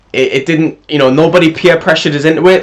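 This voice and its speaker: Someone speaks at a fairly quick pace with a British accent. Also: man. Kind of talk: casual storytelling over gameplay.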